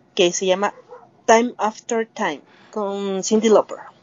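A woman with a plain, everyday voice speaks at a fairly slow pace and a fairly high pitch. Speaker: music podcast co-host. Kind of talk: casual chat.

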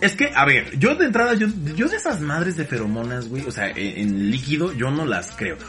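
Over noticeable background noise, a man with a Mexican accent speaks at a moderate pace. His fairly high pitch makes very wide swings. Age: 20s. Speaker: podcast guest. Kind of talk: casual chat.

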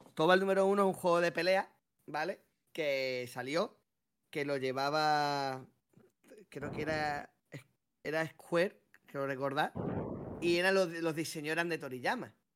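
Pausing often and at length, a man talks at a fairly slow pace in a fairly high pitch with ordinary pitch variation. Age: 30s. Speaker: podcast co-host. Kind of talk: casual chat.

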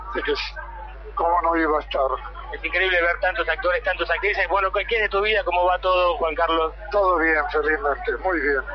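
A man with a Rioplatense accent, fairly quick pace and very even loudness, over noticeable background noise. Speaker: radio reporter. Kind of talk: interview.

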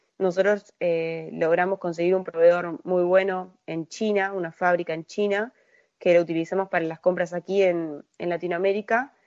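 Using a plain, everyday voice, a woman with a fairly low pitch speaks at a moderate pace and keeps a fairly even intonation. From Uruguay. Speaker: procurement analyst at a tech company. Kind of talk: interview. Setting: remote call from Uruguay.

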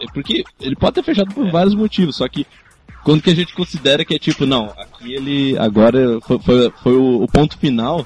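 A somewhat breathy man with a fairly high voice talks at a fairly quick pace with lively intonation. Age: 20s. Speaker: podcast co-host. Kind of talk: casual chat.

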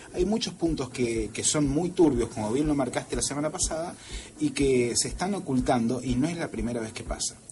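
Through noticeable background noise, a man with a fairly high pitch and lively intonation speaks at a fairly quick pace. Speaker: radio science columnist. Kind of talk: radio talk show segment.

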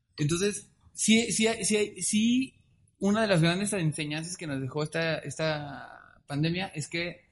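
Against a quiet background, a man with a Mexican accent and a high pitch speaks at a fairly slow pace with ordinary pitch variation. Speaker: podcast co-host. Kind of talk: casual chat. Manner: stammering, repeats words.

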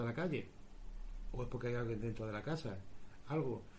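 Audible room echo surrounds a man's somewhat breathy voice. His pitch varies in an ordinary way. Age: 40s. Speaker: radio host and paranormal investigator. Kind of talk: interview answers. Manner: halting, repeats words.

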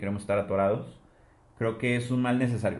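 A man talks with fairly even intonation. Room echo is audible in the recording. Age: 20s. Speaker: podcast co-host. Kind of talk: casual chat.

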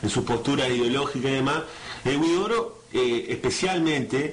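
A man talks at a fairly high pitch with lively intonation. Noticeable background noise and audible room echo fill the recording. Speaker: radio host. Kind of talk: radio interview. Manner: halting.

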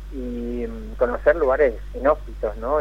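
Noticeable background noise fills the recording. Through it, a man talks fairly slowly. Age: 40s. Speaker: musician. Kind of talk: radio phone interview. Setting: phone call.

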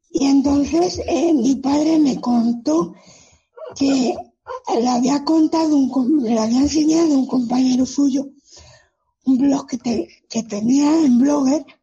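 A high-pitched woman with a dark, mellow tone, very slow and full of long, frequent pauses, her loudness very even and her pitch varying an ordinary amount. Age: 30s. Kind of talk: interview. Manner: halting.

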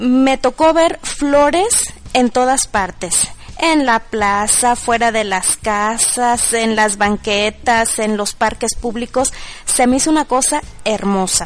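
Over noticeable background noise, a woman with a fairly high pitch speaks very slowly with ordinary pitch variation. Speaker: Mexican expatriate. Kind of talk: personal testimony.

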